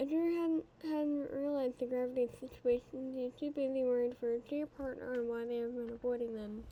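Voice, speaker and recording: This woman talks fairly quickly at a high pitch, with fairly even intonation and hardly any pauses. Noticeable background noise sits behind her. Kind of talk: fan fiction read aloud.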